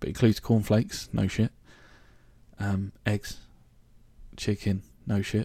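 In a southern English accent, a man speaks fairly slowly at a fairly low pitch, his dark, mellow, somewhat breathy voice flat and monotone and broken by long, frequent pauses. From southern England, Reading (Berkshire). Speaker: podcast host. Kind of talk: casual monologue. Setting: home recording. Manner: hesitant, many fillers.

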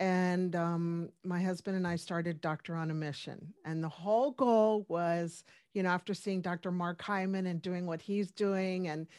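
A woman's medium-pitched, ordinary speaking voice with fairly even intonation, on a very clean recording with a silent background. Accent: American. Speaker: functional medicine doctor. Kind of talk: casual interview.

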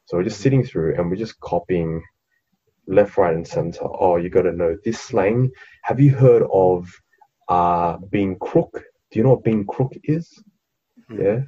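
A man with an Australian accent, fairly low-pitched and somewhat breathy, at a fairly slow pace with lively intonation and long, frequent pauses. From Sydney, Australia, Vietnamese family. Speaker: podcast co-host. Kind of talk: casual chat.

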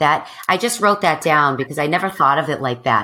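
A woman speaks at a low pitch and a fairly quick pace. Her tone is bright and sharp, with lively intonation.

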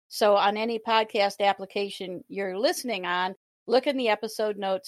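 A woman's unremarkable speaking voice at medium pitch, with a dry, close sound and no echo. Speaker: podcast co-host. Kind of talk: casual interview conversation.

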